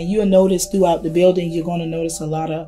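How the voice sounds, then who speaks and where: A woman with an American accent over faint music in the background. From South Carolina. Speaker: gospel singer and teacher. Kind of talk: interview answer. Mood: warm, explanatory. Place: hall.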